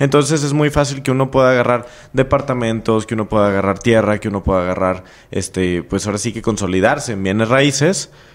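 A man's voice of medium pitch, in a Mexican accent. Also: ordinary pitch variation, fairly quick pace. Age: 20s. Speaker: entrepreneur. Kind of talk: casual interview.

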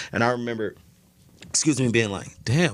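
A man is speaking. He has an American accent. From Chicago, South Side. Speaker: celebrity stylist. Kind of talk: casual chat.

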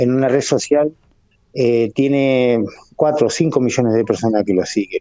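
A man talks at a fairly slow pace. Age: 50s. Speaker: motorcycle racer. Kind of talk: casual interview. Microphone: choppy internet connection.

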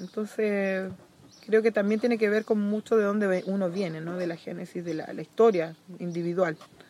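A woman speaks in an ordinary speaking voice at a medium pitch and a moderate pace, her intonation fairly even. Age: 40s. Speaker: environmental and social activist. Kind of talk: casual chat.

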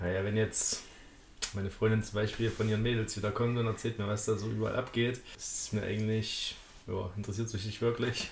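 Flat and monotone, the intonation comes from a man whose voice is fairly low. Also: fairly quick pace. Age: 20s. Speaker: podcast guest. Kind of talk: casual chat.

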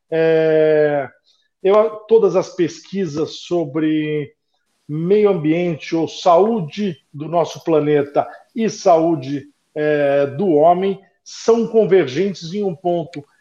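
With a high pitch and ordinary pitch variation, a man speaks at a very slow pace in a dark, mellow tone. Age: 50s. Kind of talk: casual interview chat.

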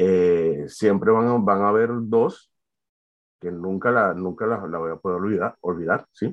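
A man speaks with ordinary pitch variation. His voice sits fairly low. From Venezuela, Valencia. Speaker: art student and graphic designer. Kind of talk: personal testimony. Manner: halting.

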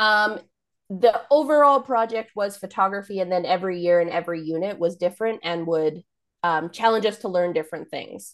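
In a Canadian accent, a woman with a plain, everyday voice speaks at a medium pitch. Her pace is fairly quick with ordinary pitch variation against a quiet background. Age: 20s. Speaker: photographer. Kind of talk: coaching call, casual. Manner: laughs often.

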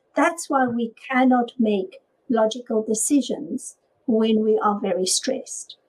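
A woman with a dark, mellow tone speaks at a fairly slow pace, her pitch varying in an ordinary way. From South Africa. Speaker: author and virtual technology assistant. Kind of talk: interview.

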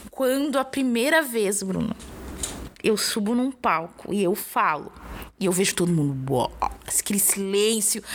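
Pausing long and often, a woman at medium pitch speaks at a fairly slow pace with very wide pitch swings and very even loudness over noticeable background noise. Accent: southern Brazilian. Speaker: podcast host and rapper. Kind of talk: casual chat.

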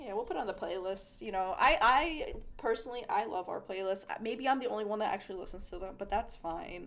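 Hardly pausing, a woman rushes along at a very fast pace with a fairly high pitch and ordinary pitch variation, against noticeable background noise. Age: 20s. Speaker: podcast co-host. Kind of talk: casual chat.

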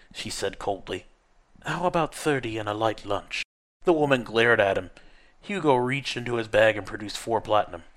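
With lively intonation, this is reading aloud in a natural voice over a quiet background.

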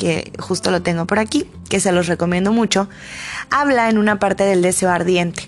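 A woman speaks with a Mexican accent. Music runs in the background. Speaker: podcaster. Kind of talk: personal monologue.

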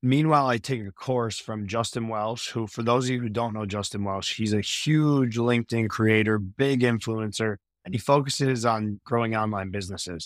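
A man with an American accent and a normal speaking voice talks at a moderate pace and medium pitch, using fairly even intonation and hardly any pauses. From Pennsylvania. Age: 20s. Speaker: financial planner. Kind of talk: interview.

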